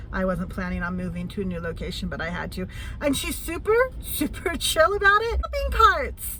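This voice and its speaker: Over noticeable background noise, a woman talks at a moderate pace with big swings in loudness. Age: 50s. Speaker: van-life vlogger. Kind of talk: casual talk to camera. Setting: in a vehicle.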